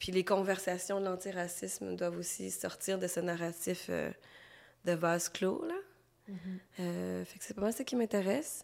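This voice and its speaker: Over a very clean recording with a silent background, a woman with a Quebec accent talks at a fairly slow pace, with fairly even intonation and big swings in loudness. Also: medium pitch for a woman. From Quebec, Montreal; Cambodian family. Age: 30s. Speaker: illustrator. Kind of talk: interview.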